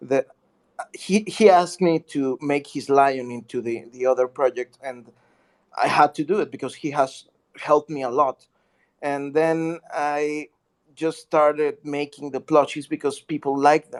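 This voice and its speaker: With a non-native accent, a man speaks at a fairly slow pace and a fairly high pitch. The sound is dry and close with no echo, and his intonation is fairly even. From Mexico. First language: Spanish. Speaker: artist and community member. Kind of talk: casual chat. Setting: online audio chat room. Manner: halting.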